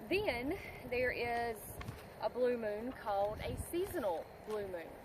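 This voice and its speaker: Over noticeable background noise, a woman with an American accent speaks at a very slow pace. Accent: country twang. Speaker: witchcraft video creator. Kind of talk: casual tutorial monologue. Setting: outdoors in a field.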